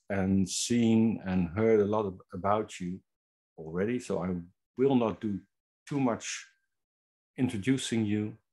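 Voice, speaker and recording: Against a quiet background, a man speaks with a Dutch accent at a fairly low pitch. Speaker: webinar host. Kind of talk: introduction.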